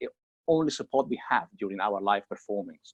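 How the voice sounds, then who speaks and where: The recording is dry and close, without any echo. A man's intonation is lively throughout. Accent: Italian. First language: Italian. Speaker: a cappella singer. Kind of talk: interview. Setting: video call from home.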